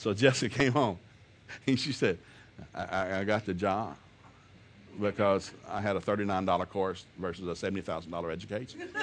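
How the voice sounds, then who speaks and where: A man with a Southern US accent, fairly low in pitch, with an animated tone, ordinary pitch variation, and long, frequent pauses. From US South. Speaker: preacher. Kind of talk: sermon. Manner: fast.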